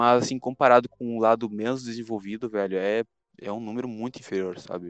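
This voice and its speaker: Over music in the background, a man talks at a fairly quick pace with fairly even intonation, the sound dry and close with no echo. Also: medium pitch for a man. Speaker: podcast host. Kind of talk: casual chat.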